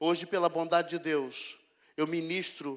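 Monotone, flat intonation at a moderate pace against a quiet background. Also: man. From Rio de Janeiro, Brazil. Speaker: pastor. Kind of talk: sermon testimony. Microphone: handheld.

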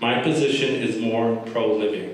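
A man with an American accent at medium pitch, moderate in pace and fairly even in intonation, in strong room echo. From Vallejo, California. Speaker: speaker opposing endorsement. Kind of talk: public comment speech. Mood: serious, critical. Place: meeting room. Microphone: podium.

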